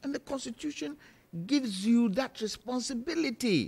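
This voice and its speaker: The man's delivery moves along at a moderate pace. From Ghana. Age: 60s. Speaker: political panelist. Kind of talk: heated debate. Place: studio. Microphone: studio mic.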